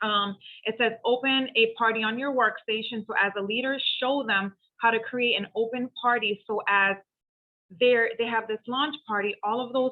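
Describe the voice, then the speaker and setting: Using an ordinary speaking voice, a woman talks at a moderate pace and a fairly high pitch. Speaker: direct sales team leader. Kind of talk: training call.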